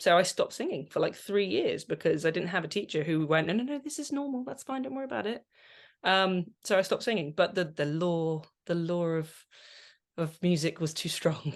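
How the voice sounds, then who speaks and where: A woman speaks in a Channel Islands accent at a fairly low pitch, with very wide pitch swings. Her pace is fairly quick over a quiet background. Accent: British English (Channel Islands). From Guernsey. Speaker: composer and vocal coach. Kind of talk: interview.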